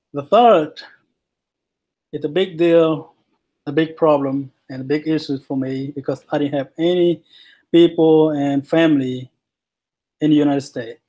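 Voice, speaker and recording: A man with a Vietnamese accent speaks at a moderate pace, with long, frequent pauses. His voice is dark and mellow, fairly high in pitch, with fairly even intonation. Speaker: student. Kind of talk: class presentation. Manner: halting.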